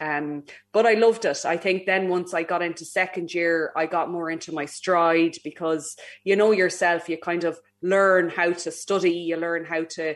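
On a very clean recording with a silent background, a woman speaks in an Irish accent at a fairly low pitch. Her pace is moderate and her intonation flat and monotone. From Ireland. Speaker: aeronautical engineer and astronaut candidate. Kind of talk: interview. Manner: hesitant, many fillers.

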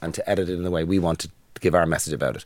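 A man with a Dublin accent, a very deep, low voice and a very fast pace, in a very clean recording with a silent background. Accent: Dublin Irish. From Ireland, Dublin. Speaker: podcast co-host. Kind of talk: casual chat.

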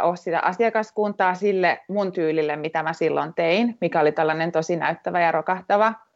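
A woman speaks in a normal speaking voice at a moderate pace, her fairly low pitch carried by fairly even intonation. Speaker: returnee fashion designer. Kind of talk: interview. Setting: phone call.

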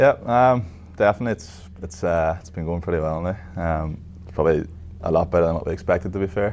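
A man's low-pitched, slightly mellow voice at a fairly quick pace, with ordinary pitch variation

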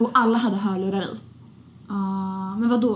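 With ordinary pitch variation and a medium pitch, a woman keeps a moderate pace despite noticeable background noise. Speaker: podcast host. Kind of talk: casual chat. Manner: animated.

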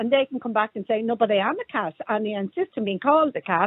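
With an Irish accent, a woman talks at a fairly quick pace. Her pitch swings very widely. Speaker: caller. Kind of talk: radio phone-in debate.

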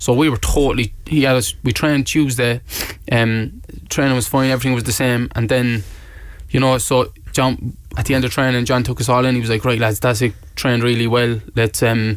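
A man with a Cork accent, fairly quick, at a very even loudness. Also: medium pitch for a man, fairly even intonation. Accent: Cork Irish. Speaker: professional footballer. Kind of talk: casual interview. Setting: studio. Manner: casual, hesitant with fillers.

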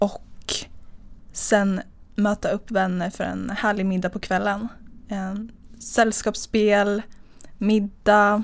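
A woman's medium-pitched voice, monotone and flat, at a very slow pace with long, frequent pauses. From Östergötland, Sweden (near Linköping). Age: 20s. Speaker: dating podcast guest, business executive. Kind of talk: casual interview.

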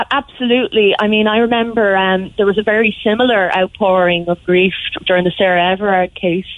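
A woman with a Cork accent speaks at a fairly quick pace and medium pitch, her loudness very even and her intonation fairly even. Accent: Cork Irish. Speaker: local councillor. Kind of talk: radio interview.

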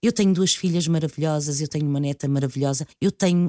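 A woman speaks at a fairly low pitch with a dark, mellow tone, recorded dry and close with no echo. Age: 50s. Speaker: radio presenter. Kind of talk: interview.

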